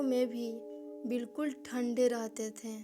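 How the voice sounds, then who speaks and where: Music plays in the background as a woman with a high pitch speaks with ordinary pitch variation. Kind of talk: horror story narration.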